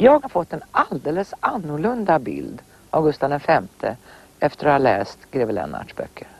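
Big swings in loudness from a woman talking at a moderate pace. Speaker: interviewer. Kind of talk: interview.

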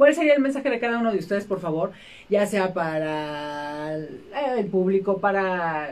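A woman speaks at a moderate pace. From Mexico. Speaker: rock radio host. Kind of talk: interview. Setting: radio studio. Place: studio. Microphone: studio mic.

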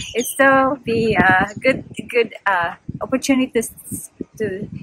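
A woman's voice in a dry recording with no echo, with noticeable background noise. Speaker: travel vlogger. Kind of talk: casual vlog chat. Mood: cheerful, chatty. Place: waterside. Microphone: phone near.

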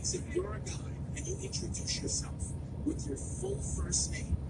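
A woman speaks at a moderate pace. Music plays behind her. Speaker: driver or passenger vlogger. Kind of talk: casual storytelling chat. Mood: amused, joking anecdote. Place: car. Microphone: phone near.

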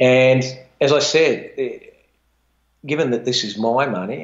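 A man with an Australian accent. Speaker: retired fund manager; guest. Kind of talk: interview. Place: home room.

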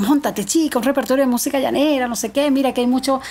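A woman speaks with an Andean Venezuelan accent. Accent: Andean Venezuelan, milder than Táchira. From Venezuelan Andes, Mérida state (Tovar); Mérida state, Venezuela. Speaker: llanera folk singer; guest. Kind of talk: podcast interview. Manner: animated. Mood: lively, storytelling, animated. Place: studio. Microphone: studio mic.

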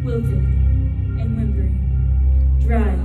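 A woman's voice over loud music in the background. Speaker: spoken word poet. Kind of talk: live spoken word poetry performance. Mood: somber, emotional. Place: hall.

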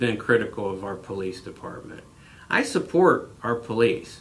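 Fairly slow delivery in an American accent. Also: man. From Jackson Township, Ohio, US Midwest; Ohio. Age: 40s. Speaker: local political candidate; candidate. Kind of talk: interview. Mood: earnest, critical. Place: office.

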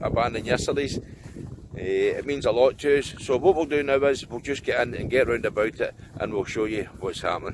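At a moderate pace, a man speaks in a dry sound with no echo amid noticeable background noise. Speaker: exploration vlogger. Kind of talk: casual vlog chat. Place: open country. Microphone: phone near.

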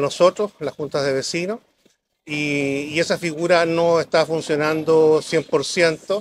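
A man with a fairly high pitch speaks at a fairly slow pace with fairly even intonation, the sound dry with no echo and light background noise behind him. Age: 60s. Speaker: local council candidate; council candidate. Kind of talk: public debate. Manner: halting, many fillers. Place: garden. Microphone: lapel.

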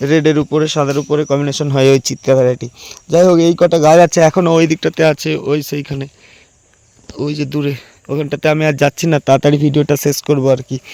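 This man's voice is fairly high in pitch, with a dark, mellow tone and monotone, flat intonation, recorded with a dry, close sound and no echo. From West Bengal, Purba Medinipur. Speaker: gardening YouTuber and plant grower. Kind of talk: casual vlog tutorial. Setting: outdoors in garden and rooftop.

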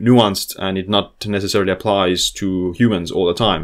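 A man with a fairly low voice and an Estonian accent, talking at a fairly quick pace against a quiet background. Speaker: health author and biohacker YouTuber; biohacker YouTuber. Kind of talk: educational video lecture. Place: home room.

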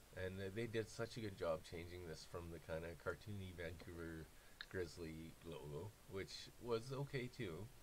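Over light background noise, a man with a very deep, low, somewhat breathy voice speaks at a moderate pace with ordinary pitch variation. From Canada. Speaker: YouTuber; sports content creator. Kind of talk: casual monologue. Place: home room. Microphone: webcam.

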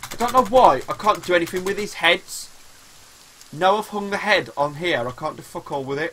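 A man speaks at a moderate pace with a high pitch and lively intonation. Light background noise sits behind him. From West Midlands. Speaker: gaming streamer. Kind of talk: live gameplay stream chat. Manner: animated. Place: home room.

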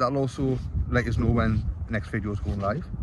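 Faint background noise sits behind a man whose intonation is lively.

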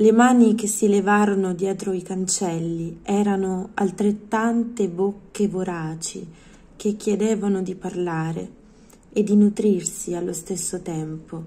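A woman's somewhat breathy voice, dark and mellow in tone, moves at a fairly slow pace with fairly even intonation. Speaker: poetry reader. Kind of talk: poetry reading aloud. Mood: calm, expressive, intimate. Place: home room. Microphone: phone near.

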